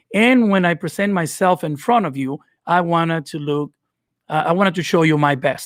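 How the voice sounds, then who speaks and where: This man talks at a moderate pace, his pitch fairly high and its variation ordinary. The sound is dry and close with no echo, on a very clean recording with a silent background. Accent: Dominican. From Dominican Republic. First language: Spanish. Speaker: video editing creator. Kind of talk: live stream giveaway tutorial. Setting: live stream. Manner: unscripted, hesitant with fillers.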